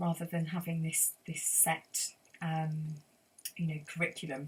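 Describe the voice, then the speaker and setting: A somewhat breathy voice moves along at a fairly slow pace. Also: woman, fairly low pitch for a woman. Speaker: sound healer and forest school leader. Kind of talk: interview answer.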